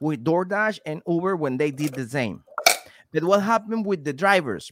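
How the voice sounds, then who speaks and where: The voice has a Venezuelan accent and a dry, close sound with no echo. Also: man. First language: Spanish. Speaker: delivery driver and YouTuber, guest co-host. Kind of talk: casual chat. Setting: video call. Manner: halting, frequent repetitions and self-corrections.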